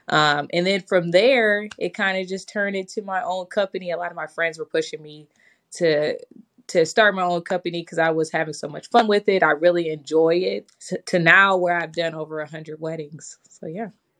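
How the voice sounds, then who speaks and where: A woman with an American accent speaks in a normal speaking voice at a fairly low pitch and a moderate pace, with fairly even intonation, big swings in loudness and a quiet background. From Michigan, Detroit area. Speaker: wedding planner. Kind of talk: podcast interview.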